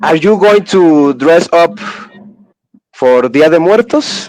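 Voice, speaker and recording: The delivery is very slow, with lively intonation. The speaker has a Spanish accent. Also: man. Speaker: podcast host. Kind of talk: casual chat. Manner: halting.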